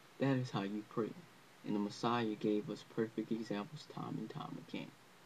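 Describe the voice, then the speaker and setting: A man talks at a moderate pace with noticeable background noise. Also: medium pitch for a man, ordinary pitch variation. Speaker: religious teacher. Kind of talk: religious lesson to camera. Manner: unscripted, hesitant.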